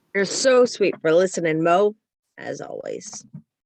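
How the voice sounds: A put-on, gravelly character voice, female-sounding, at medium pitch and moderate pace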